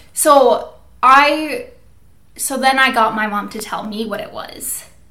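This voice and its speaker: A woman speaks with an American accent. There is audible room echo and noticeable background noise. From Minnesota, US Midwest. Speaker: podcast co-host. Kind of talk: casual chat; scripted outro.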